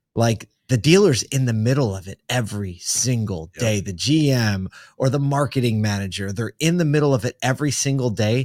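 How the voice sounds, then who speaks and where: On a very clean recording with a silent background and a dry, close sound with no echo, an ordinary speaking voice moves at a fairly quick pace with ordinary pitch variation. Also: man. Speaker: podcast host. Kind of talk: casual interview chat.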